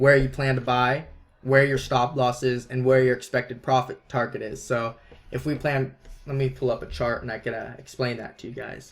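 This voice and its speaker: A man speaks in a somewhat breathy, monotone, flat intonation. His loudness swings widely. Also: medium pitch for a man. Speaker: trading educator. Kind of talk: webinar tutorial. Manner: fast.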